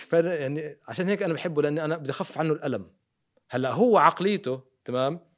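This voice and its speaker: A man speaks at a moderate pace with ordinary pitch variation. His pitch sits fairly high. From Jordan and Riyadh, Saudi Arabia. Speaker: dentist and TV presenter. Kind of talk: interview. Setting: studio. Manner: calm.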